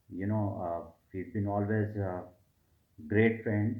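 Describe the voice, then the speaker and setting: There is audible room echo as a man speaks in a fairly low pitch with monotone, flat intonation. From India (Delhi). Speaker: HR manager, student giving a testimonial. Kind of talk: testimonial. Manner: hesitant, many fillers.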